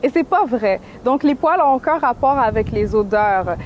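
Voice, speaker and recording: Woman with a Quebec accent, high-pitched and lively in intonation, at a fairly slow pace. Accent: Québécois French. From Quebec, Montreal. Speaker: activist and painter. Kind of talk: interview.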